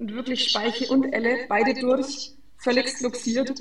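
A woman speaks at a fairly slow pace with a high pitch and fairly even intonation. The recording has audible room echo and noticeable background noise. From Franconia, Germany (Fränkisches Seenland). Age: 20s. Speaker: sports physiotherapist. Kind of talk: interview.

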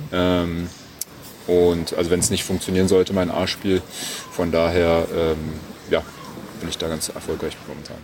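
This man has a very deep, low pitch and a monotone, flat intonation, speaking at a moderate pace. He leaves long, frequent pauses against noticeable background noise. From Germany, Berlin. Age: 20s. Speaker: professional tennis player. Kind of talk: interview. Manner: hesitant, many fillers.

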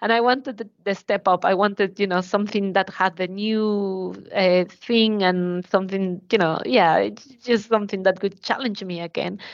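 A woman with a Spanish accent at medium pitch, moderate pace, fairly even intonation and hardly any pauses. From Mexico, Mexico City. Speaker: motorsport engineering manager. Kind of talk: interview.

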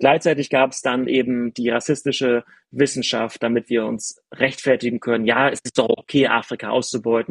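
The speech moves at a moderate pace with monotone, flat intonation and a dry, close sound with no echo. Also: man. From northeastern Germany, village near Rostock. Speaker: sports journalist and author. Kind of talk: casual conversation.

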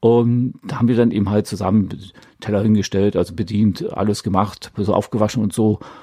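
A man talks at a fairly quick pace in a fairly low pitch, his tone dark and mellow and his intonation fairly even. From East Germany. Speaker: podcast host with tinnitus. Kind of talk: casual monologue.

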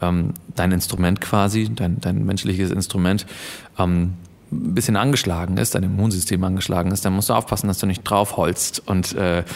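A man with a low, slightly mellow voice and vocal fry talks at a moderate pace with fairly even intonation.

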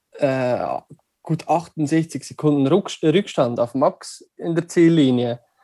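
A man speaks at a fairly high pitch with a dark, mellow tone in a dry, close sound with no echo. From Switzerland. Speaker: listener. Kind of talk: casual chat. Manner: halting.

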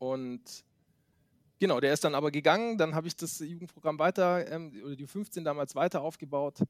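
In a dry, close recording with no echo, a man with a fairly high pitch talks at a moderate pace, his loudness swinging widely while his pitch varies in an ordinary way. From Baden-Württemberg, Germany (Swabia). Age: 30s. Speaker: youth American football coach. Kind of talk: interview. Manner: hesitant, many fillers.

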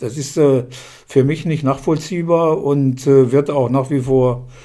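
Speaking at a fairly slow pace, a man with a fairly high pitch uses a dark, mellow tone and fairly even intonation. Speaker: retired sports journalist. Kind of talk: interview. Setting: at home in his living room.

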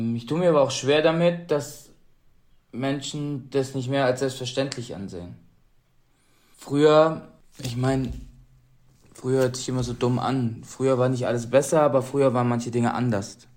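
Over audible room echo, a man with a medium pitch talks at a moderate pace in fairly even intonation, leaving long, frequent pauses. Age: 30s. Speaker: Paralympic athlete. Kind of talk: interview.

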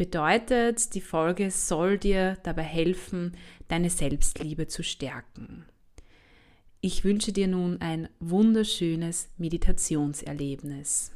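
A woman's fairly low voice in a calm, soothing tone, very slow pace and ordinary pitch variation. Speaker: health scientist, university lecturer, podcast host. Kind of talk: guided meditation. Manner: slow, calm, soothing; soft-spoken, gentle.

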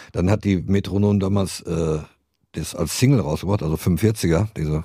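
A man's voice with a dark, mellow tone uses ordinary pitch variation. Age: 60s. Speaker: rock guitarist and songwriter. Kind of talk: interview. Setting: small studio.

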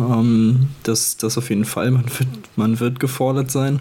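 Noticeable background noise sits behind a man's voice. He talks at a moderate pace with fairly even intonation. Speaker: handball co-host analyst. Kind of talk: casual sports discussion.

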